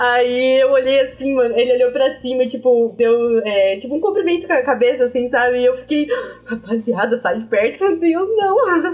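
Over noticeable background noise, a woman speaks at a high pitch with lively intonation. Her loudness stays very even at a moderate pace. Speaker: university student podcast co-host. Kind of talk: casual chat.

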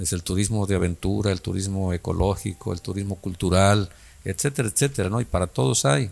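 Speaking at a fairly quick pace, a man with a very deep, low pitch and ordinary pitch variation is captured in a very clean recording with a silent background. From Mexico, Guerrero coast (Coacoyul, Zihuatanejo). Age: 60s. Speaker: local politician. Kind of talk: interview.

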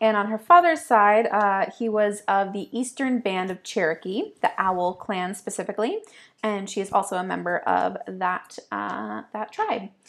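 A woman with an American accent has a normal speaking voice at medium pitch with ordinary pitch variation. She talks at a fairly slow pace on a very clean recording with a silent background. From upstate New York. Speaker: poetry podcast co-host. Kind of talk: casual chat; reading aloud.

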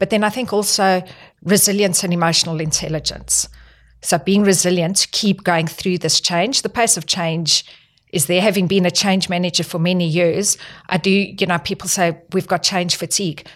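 On a very clean recording with a silent background, a woman with a South African accent speaks at a medium pitch and moderate pace, her intonation fairly even. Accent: non-Australian, South African. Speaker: health technology executive. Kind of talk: podcast interview.

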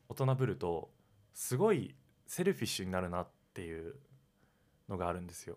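With a very deep, low pitch and lively intonation, a man talks at a fairly quick pace, leaving long, frequent pauses while his loudness swings widely. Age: 20s. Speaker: podcast co-host, university student. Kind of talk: casual chat; show intro tagline.

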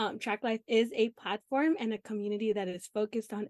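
A woman with a fairly high pitch speaks at a moderate pace, her pitch varying in an ordinary way. The sound is dry and close with no echo, on a very clean recording with a silent background. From US, Los Angeles (Filipino family). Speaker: podcast host. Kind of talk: casual chat.

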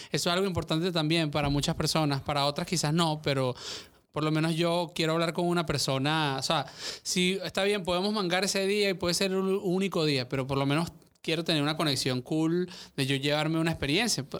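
A man speaks in an ordinary speaking voice with a fairly high pitch and fairly even intonation, at a fairly quick pace. His loudness is very even, on a very clean recording with a silent background. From Venezuela, Caracas. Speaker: podcast guest. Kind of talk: casual chat. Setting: studio.

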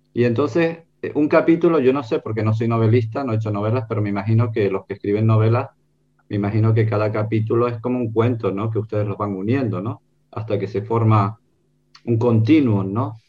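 A somewhat breathy man's voice, dark and mellow in tone, with medium pitch, ordinary pitch variation and a fairly quick pace. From Canary Islands, Gran Canaria. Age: 60s. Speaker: writer and illustrator. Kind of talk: book presentation discussion. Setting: video call.

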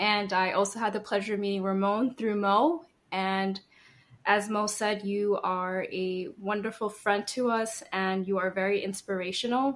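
At a moderate pace, a woman talks in an unremarkable speaking voice with medium pitch. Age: 30s. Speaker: small business owner. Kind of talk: casual interview.

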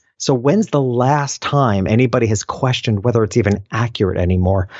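The man has a plain, everyday voice, pitched in the medium range with lively intonation. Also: hardly any pauses, very even loudness. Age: 50s. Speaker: entrepreneur and business coach. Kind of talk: casual interview.

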